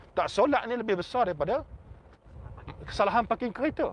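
Dry, with no echo, the sound captures a man speaking in an animated tone at a fairly quick pace with very wide pitch swings. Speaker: religious teacher. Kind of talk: religious talk to a crowd. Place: car. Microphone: phone near.

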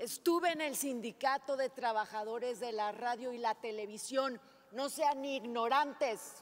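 Her pitch is high, and the woman speaks at a fairly slow pace. Her pitch variation is ordinary. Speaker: senator in debate. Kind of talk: heated parliamentary speech. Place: hall. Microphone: podium.

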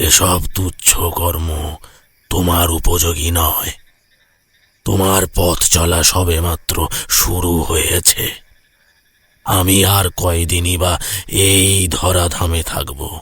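In a cartoonish character voice, a man speaks very slowly with very deep, low pitch and monotone, flat intonation. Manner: calm, measured.

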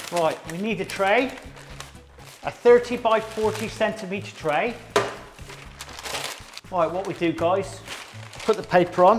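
Over music in the background, a man speaks with a high pitch. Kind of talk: tutorial. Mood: relaxed and chatty. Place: kitchen.

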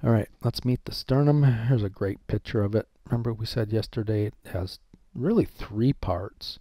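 On a very clean recording with a silent background, a man speaks at a moderate pace in a medium pitch, his somewhat breathy voice dark and mellow, with ordinary pitch variation and a dry, close sound with no echo. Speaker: professor. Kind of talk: lecture.

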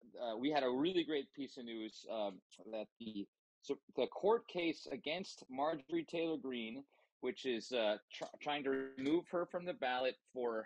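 A man at a moderate pace with ordinary pitch variation, dry sound with no echo, and music in the background. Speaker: podcast co-host. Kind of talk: political commentary. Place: home room.

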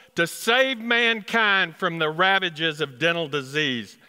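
A man with a Texas accent speaks at a very slow pace over a quiet background. His pitch makes very wide swings. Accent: Texas twang. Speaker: dentist. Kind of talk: live storytelling performance. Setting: performance hall. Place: stage. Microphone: headset.

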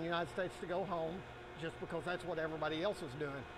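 A man speaks with a high pitch. Noticeable background noise runs behind him. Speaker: factory owner giving tour. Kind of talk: tour guide explanation. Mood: proud, good-humored. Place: factory. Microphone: lapel.

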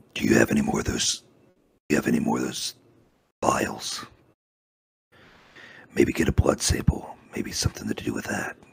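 A man puts on a character voice, very deep, low and raspy, at a moderate pace. Long, frequent pauses break up his speech. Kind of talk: in-character tabletop roleplay. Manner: calm, terse, analytical.

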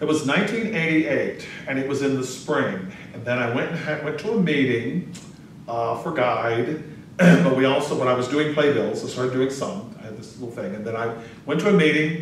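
A man with an American accent at a moderate pace, fairly high in pitch, with lively intonation, big swings in loudness, audible room echo and light background noise. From North Carolina. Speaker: interviewee. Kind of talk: oral history interview. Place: office.

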